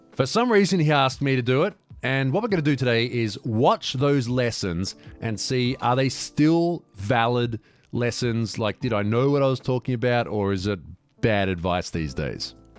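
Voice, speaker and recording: With music in the background, a man speaks at a medium pitch with lively intonation. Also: moderate pace. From Australia, Sydney inner west. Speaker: drifting video host, motoring journalist. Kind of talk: casual commentary.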